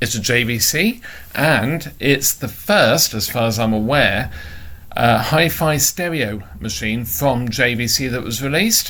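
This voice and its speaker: A man talks with a British accent. His pace is fairly slow. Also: medium pitch for a man. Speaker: electronics repair hobbyist. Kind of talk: casual talk to camera.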